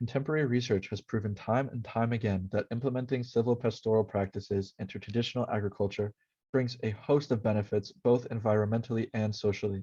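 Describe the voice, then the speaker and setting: A man's somewhat breathy, medium-pitched voice with fairly even intonation and hardly any pauses. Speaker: university student. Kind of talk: class presentation narration.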